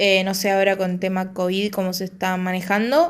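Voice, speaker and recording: In a Rioplatense accent, a woman talks at a moderate pace with a medium pitch. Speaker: podcast host. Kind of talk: solo podcast talk.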